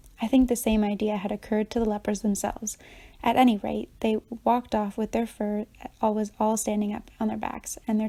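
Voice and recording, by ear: A text is being read aloud, the voice natural throughout.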